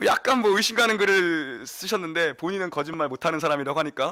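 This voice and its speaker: Speaking very fast with hardly any pauses, a man uses lively intonation. His pitch is fairly high, and there is noticeable background noise. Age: young. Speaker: pastor. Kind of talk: sermon.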